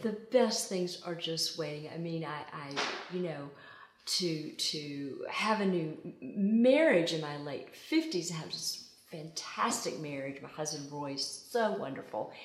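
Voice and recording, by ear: With strong room echo around her, a woman talks at a low pitch with lively intonation. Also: fairly slow pace.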